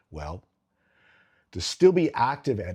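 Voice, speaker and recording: A man's somewhat breathy voice has a dark, mellow tone, captured in a very clean recording against a silent background. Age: 60s. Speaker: health and fitness vlogger. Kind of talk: talking-head explainer video.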